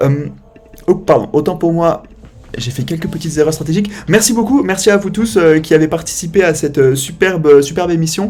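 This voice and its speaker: Over noticeable background noise, a man talks in a high voice with ordinary pitch variation. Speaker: streamer and show host. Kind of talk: live stream talk show outro. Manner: fast.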